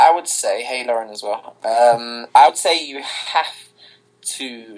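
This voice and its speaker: A man with a British accent speaks at a very slow pace. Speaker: singer. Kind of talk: interview.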